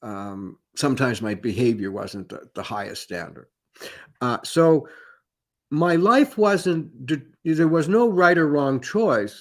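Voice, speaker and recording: Speaking very slowly, a man with a Canadian accent uses a fairly high pitch with very wide pitch swings and big swings in loudness. The recording is very clean with a silent background. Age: 70s. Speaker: professional psychic. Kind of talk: conference talk. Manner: halting.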